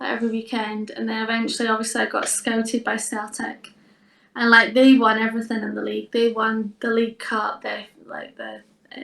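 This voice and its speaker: A woman with a fairly high voice talks at a fairly quick pace, her intonation monotone and flat while her loudness swings widely. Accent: Scottish. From southern Scotland. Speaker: professional footballer. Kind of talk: podcast interview. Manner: casual, filler-heavy.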